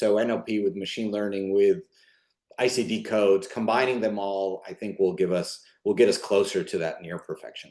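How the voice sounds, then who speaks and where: A man's medium-pitched voice with lively intonation. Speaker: clinical scientist presenting research. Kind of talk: webinar presentation. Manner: fast.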